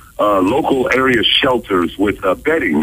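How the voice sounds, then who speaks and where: Noticeable background noise behind a man with an American accent, at a fairly slow pace. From United States, Ohio. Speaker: radio voice-over announcer and author. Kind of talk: radio phone interview answer.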